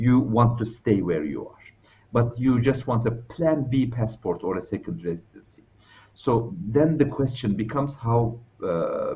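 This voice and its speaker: Somewhat breathy delivery at a moderate pace. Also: man. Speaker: remote guest. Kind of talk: interview answer. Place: home room. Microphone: headset.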